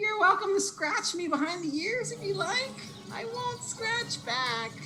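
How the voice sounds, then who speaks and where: A man puts on a squeaky character voice at a moderate pace. Clear background noise can be heard. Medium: actual play. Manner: theatrical, wistful.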